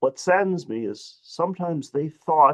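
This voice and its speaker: Dry and close with no echo, a man's fairly high voice carries a Midwestern accent and lively intonation. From Detroit, US Midwest. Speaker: civil rights advocate, panelist. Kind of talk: webinar panel talk. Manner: animated.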